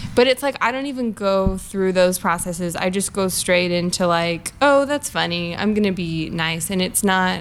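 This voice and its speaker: In a normal speaking voice at medium pitch, a woman talks at a moderate pace with hardly any pauses and ordinary pitch variation. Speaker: comedian.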